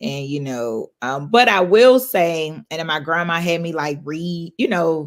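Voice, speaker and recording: On a very clean recording with a silent background, a woman uses a normal speaking voice at a fairly low pitch, talking at a fairly slow pace with hardly any pauses and big swings in loudness. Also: lively intonation. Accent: American. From US South, Georgia (Clayton County, south of Atlanta). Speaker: hotel owner. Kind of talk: interview podcast conversation.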